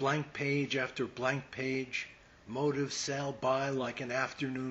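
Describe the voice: Someone simply reads a text aloud.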